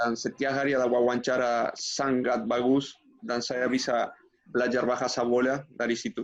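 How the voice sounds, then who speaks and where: In a Spanish accent, a man speaks at a moderate pace and a medium pitch. His intonation is monotone and flat, with noticeable background noise behind him. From Uruguay. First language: Spanish (speaking Indonesian). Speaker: former footballer and coach. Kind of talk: interview.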